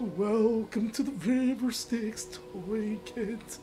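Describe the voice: Over clear background noise, a female-sounding put-on character voice speaks very slowly at a fairly high pitch.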